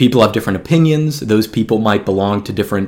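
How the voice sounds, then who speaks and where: A man with an American accent has an ordinary speaking voice, medium in pitch with ordinary pitch variation. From US South, Georgia. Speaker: podcast host. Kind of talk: solo podcast monologue on books.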